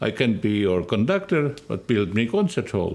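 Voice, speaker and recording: Very wide pitch swings mark the fairly slow delivery. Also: man. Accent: Estonian. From Estonia. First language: Estonian. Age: 80s+. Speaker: orchestra conductor. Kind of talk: interview answer.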